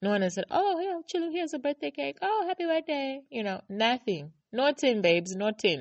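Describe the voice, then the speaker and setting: An animated woman's voice with very wide pitch swings. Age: 30s. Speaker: podcast host. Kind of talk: casual monologue.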